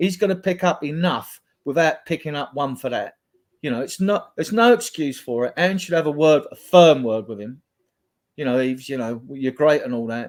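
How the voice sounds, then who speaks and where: He has an ordinary speaking voice with a fairly high pitch. This man talks at a fairly quick pace. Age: 60s. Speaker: football fan panelist. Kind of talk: casual chat.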